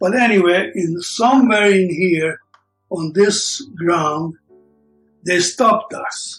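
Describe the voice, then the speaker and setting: With music in the background, a man with a high pitch speaks at a very slow pace, leaving long, frequent pauses. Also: ordinary pitch variation. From Hungary. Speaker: Holocaust survivor. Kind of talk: oral history interview answer.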